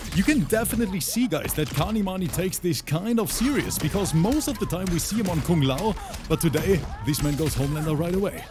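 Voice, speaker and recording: With music in the background, a man with a German accent talks very fast at a high pitch, his intonation lively. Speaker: esports commentator. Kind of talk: live commentary. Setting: livestream. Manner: animated.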